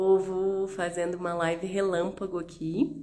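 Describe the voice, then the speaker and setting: Here a woman speaks at medium pitch. Her pitch varies in an ordinary way. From Rio de Janeiro, Brazil. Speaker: naturopath. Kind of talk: live stream health talk.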